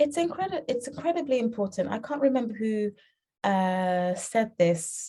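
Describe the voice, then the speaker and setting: A woman with a British accent speaks in a somewhat breathy voice with a dark, mellow tone. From England (UK), born in Uganda. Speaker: children's book author and publisher. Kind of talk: interview.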